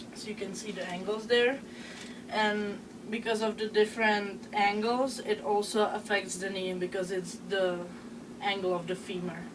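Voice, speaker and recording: A woman with a Czech accent at medium pitch, monotone and flat in intonation, at a moderate pace over noticeable background noise. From Czech Republic. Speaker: student presenter. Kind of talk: class presentation. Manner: halting, many filler sounds.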